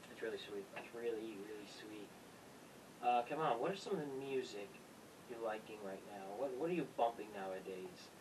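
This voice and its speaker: Against noticeable background noise, a man speaks at a medium pitch and a moderate pace, with ordinary pitch variation. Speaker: podcast host. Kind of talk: casual podcast conversation.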